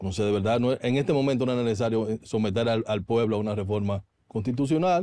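Very fast speech from a man, dark and mellow in tone, with ordinary pitch variation and a dry sound with no echo. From Dominican Republic. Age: 40s. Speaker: politician. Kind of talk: TV interview. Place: studio. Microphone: studio mic.

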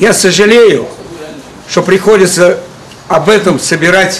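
With noticeable background noise behind him, a man speaks fairly slowly at a high pitch with fairly even intonation. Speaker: circus clown. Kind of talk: public appeal to camera. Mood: earnest, aggrieved. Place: street. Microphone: camera far.

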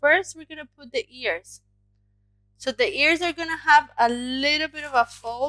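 Over background music, a woman speaks in a raised, projected voice at a moderate pace. Her pitch swings very widely, and the sound is dry with no echo. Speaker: craft teacher. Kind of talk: tutorial. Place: home room. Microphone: headset.

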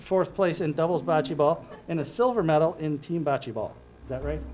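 The pitch varies in an ordinary way. The tone is slightly mellow. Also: man, fairly high pitch for a man, moderate pace.

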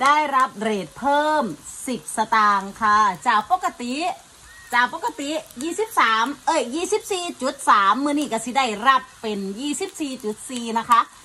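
This woman's voice sits high in pitch, with ordinary pitch variation. Her loudness swings widely. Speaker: food vlogger. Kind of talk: casual vlog chat with sponsored app promotion. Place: home room.

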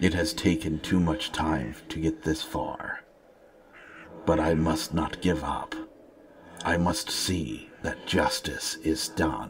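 A man speaks very slowly in a put-on character voice, pitched very deep and low. His delivery has long, frequent pauses. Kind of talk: heroic fantasy speech. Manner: solemn, formal, measured; grave, stoic, speaks without contractions.

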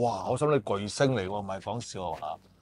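Lively intonation carries a fairly quick pace in a dry sound with no echo. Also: man. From Hong Kong. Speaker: former weekly magazine journalist. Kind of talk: casual chat. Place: home room.

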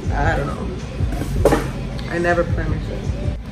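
While a woman talks, music plays clearly in the background. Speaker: beauty vlogger. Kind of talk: casual makeup tutorial chat. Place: home room. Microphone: phone near.

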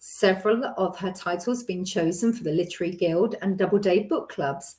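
A woman's somewhat breathy voice at a moderate pace against a quiet background. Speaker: online show host. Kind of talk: host introduction. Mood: warm, enthusiastic. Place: home room. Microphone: webcam.

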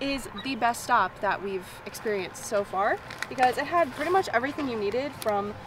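A high-pitched woman's voice comes through dry, with no echo, over noticeable background noise. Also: fairly quick pace. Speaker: travel vlogger. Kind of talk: casual vlog chat. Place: car. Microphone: phone near.

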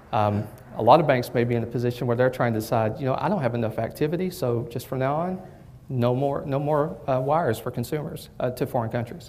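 A man with a Southern US accent talks at a very fast pace, his pitch medium with ordinary variation. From southern Kentucky. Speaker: bank technology executive. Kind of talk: presentation. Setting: lunch presentation with audience. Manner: hesitant, many fillers. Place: hall.

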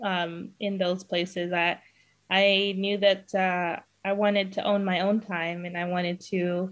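Monotone, flat intonation at a fairly slow pace over a quiet background. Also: woman. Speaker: podcast host. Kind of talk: podcast interview host talk. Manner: hesitant, many fillers. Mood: warm and upbeat. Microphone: webcam.

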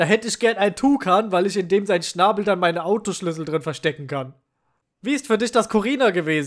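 In a very clean recording with a silent background, a man speaks with a high pitch and lively intonation. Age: 20s. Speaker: YouTuber. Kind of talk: casual Q&A video.

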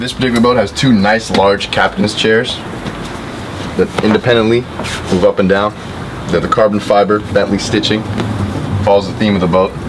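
Over noticeable background noise, a man with a fairly low voice talks at a fairly quick pace with fairly even intonation. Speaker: boat salesperson. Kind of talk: product walkthrough tour. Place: boat. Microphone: phone near.

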